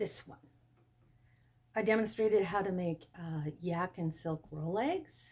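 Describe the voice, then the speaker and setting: Somewhat breathy, a woman speaks in an enthusiastic tone. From Canada, Ottawa Valley. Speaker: fiber arts YouTuber. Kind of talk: show-and-tell tutorial.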